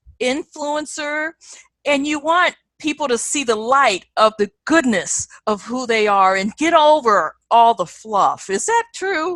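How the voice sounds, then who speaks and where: In a raised, projected voice, a woman speaks at a fairly slow pace with a high pitch, very wide pitch swings and a bright, sharp tone, the sound dry and close with no echo. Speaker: interview host. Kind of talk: interview host.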